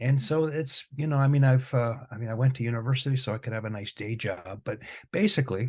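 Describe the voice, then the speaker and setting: Against a quiet background, a man with a Michigan accent speaks fairly quickly at a medium pitch, sounding somewhat breathy. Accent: US Midwestern (Michigan). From Michigan, Detroit area. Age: 60s. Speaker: music professor and guitarist. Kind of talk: interview conversation.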